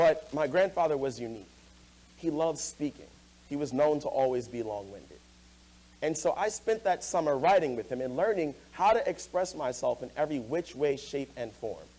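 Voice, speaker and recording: Here is a man with an American accent and an ordinary speaking voice, pitched fairly high. He talks at a moderate pace with lively intonation. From Hempstead, New York. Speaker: student and spoken word poet. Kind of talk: public talk on stage.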